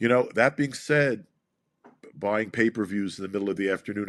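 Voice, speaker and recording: A man talks with a New York accent. His pace is very fast. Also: very clean recording, silent background. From US Northeast, Brooklyn. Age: 60s. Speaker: boxing promoter. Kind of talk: interview. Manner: animated.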